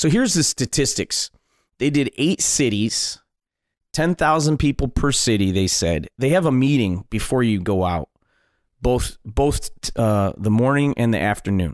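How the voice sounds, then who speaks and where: Speaking fairly slowly with a Midwestern American accent, a man uses lively intonation at a very even loudness in a very clean recording with a silent background and a dry, close sound with no echo. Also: medium pitch for a man. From Detroit, Michigan. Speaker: comedian and wedding DJ. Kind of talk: casual interview storytelling.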